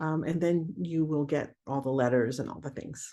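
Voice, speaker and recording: A woman speaks at a fairly quick pace in a dark, mellow tone, her pitch fairly low and her pitch variation ordinary, against a quiet background. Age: 60s. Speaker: remote viewing teacher. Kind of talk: webinar Q&A. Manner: casual, halting.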